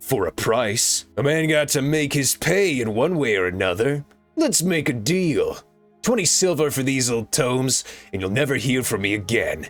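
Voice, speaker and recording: Using a put-on character voice, a man speaks at medium pitch and a moderate pace as faint music plays in the background. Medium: voice reel.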